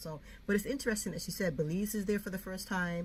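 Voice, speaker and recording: A woman's voice with vocal fry. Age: 60s. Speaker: YouTuber, Air Force veteran, homeschooling mom. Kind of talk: casual talk to camera. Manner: chatty, rambling.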